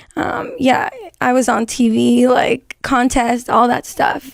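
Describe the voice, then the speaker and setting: High-pitched woman's voice in a Spanish accent. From Las Vegas, Nevada. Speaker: singer-rapper. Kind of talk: interview.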